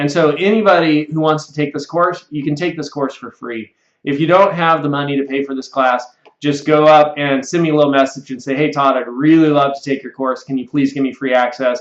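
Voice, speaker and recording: A man's fairly high voice at a fairly quick pace, with fairly even intonation, big swings in loudness, and audible room echo. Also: quiet background. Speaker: computer software instructor; online course instructor. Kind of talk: sales pitch. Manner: fast. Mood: friendly, earnest. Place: office. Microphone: webcam.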